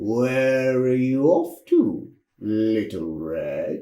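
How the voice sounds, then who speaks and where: Amid audible echo, a man uses a put-on character voice at a medium pitch and a very slow pace. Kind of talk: children's storytelling. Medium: read story. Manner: comic, hammy.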